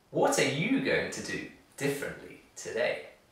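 Audible room echo surrounds a man who speaks fairly slowly in a British accent. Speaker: English teacher. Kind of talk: ESL lesson to camera. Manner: slow, clear. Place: studio.

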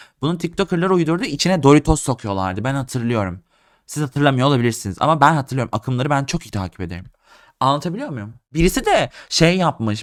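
In a very clean recording with a silent background, a man speaks at a fairly high pitch and a fairly quick pace. His tone is animated and playful, with lively intonation. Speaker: video creator / vlogger. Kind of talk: casual comedic monologue to camera, food tasting. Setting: home, video recording late at night. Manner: animated, sarcastic, playful.

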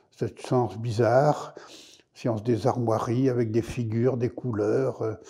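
Over a quiet background, a man talks at a very slow pace in a somewhat breathy voice with a dark, mellow tone and monotone, flat intonation. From Paris (Montmartre); Paris. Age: 70s. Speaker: historian. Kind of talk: interview. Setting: studio. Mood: calm, warm, amused. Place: studio.

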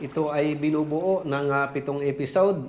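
A fairly high-pitched man speaking fairly slowly with ordinary pitch variation, over noticeable background noise. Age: old. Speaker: interviewer. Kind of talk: interview.

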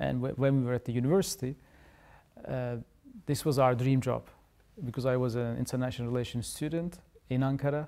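At a moderate pace, a man with a Turkish accent talks in a medium pitch with ordinary pitch variation. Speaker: diplomat. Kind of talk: interview. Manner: formal.

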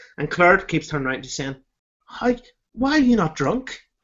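A man with an Irish accent speaks over a quiet background. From Ireland. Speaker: beer reviewer. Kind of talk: casual chat. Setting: video call. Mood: relaxed, chatty. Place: home room. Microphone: video call.

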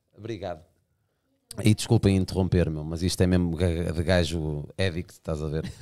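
Over a quiet background, a man speaks at a moderate pace. His voice is very deep and low, with a dark, mellow tone. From Portugal. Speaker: podcast host. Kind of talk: casual chat. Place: studio. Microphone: studio mic.

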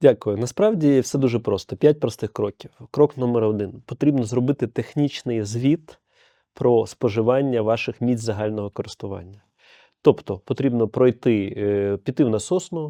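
The man's tone is dark and mellow, and his pace is moderate. The sound is dry and close with no echo, over a quiet background. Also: medium pitch for a man, ordinary pitch variation. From Ukraine, Kyiv. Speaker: head of a homeowners' association. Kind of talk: podcast interview. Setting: studio.

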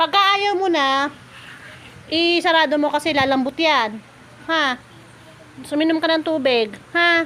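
A woman with an extremely high pitch speaks in a raised, projected voice with ordinary pitch variation. She goes at a fairly slow pace with long, frequent pauses over noticeable background noise. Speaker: vlogger. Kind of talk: casual vlog.

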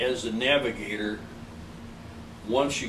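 Noticeable background noise runs behind this man's voice. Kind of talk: interview answer. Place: home room.

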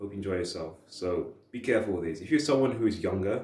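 Somewhat breathy and fairly low-pitched, a man talks at a fairly quick pace with ordinary pitch variation amid audible room echo. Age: 30s. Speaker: dating advice youtuber. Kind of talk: casual monologue to camera. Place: home room. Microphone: camera far.

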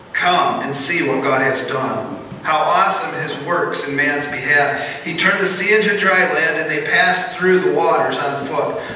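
A man with a high pitch speaks at a fairly slow pace with ordinary pitch variation, in strong room echo and light background noise. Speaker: pastor leading worship. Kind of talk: prayer and scripture reading. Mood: solemn, reverent prayer. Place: church.

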